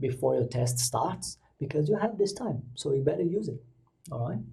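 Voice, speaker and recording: In a Brazilian Portuguese accent, a man speaks with a dark, mellow tone that is somewhat breathy. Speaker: English exam coach. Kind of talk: tutorial. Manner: casual, with hesitations.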